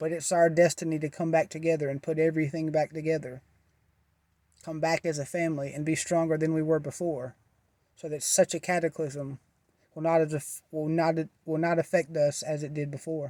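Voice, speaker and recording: Dry and close with no echo on a very clean recording with a silent background, a man speaks in a monotone, flat way at a fairly high pitch with a dark, mellow tone. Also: fairly quick pace. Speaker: spiritual vlogger. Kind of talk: casual monologue. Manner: halting.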